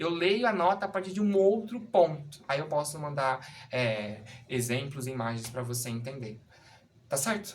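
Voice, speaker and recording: A man's lively intonation carries through speech at a moderate pace. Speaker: music teacher. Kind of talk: tutorial. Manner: halting, with many fillers.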